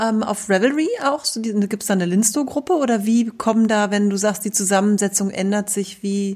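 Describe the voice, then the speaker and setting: A woman speaks at a fairly quick pace with a fairly high pitch. She leaves hardly any pauses, and there is noticeable background noise. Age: 40s. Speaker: podcast host and yarn shop owner. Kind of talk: casual chat.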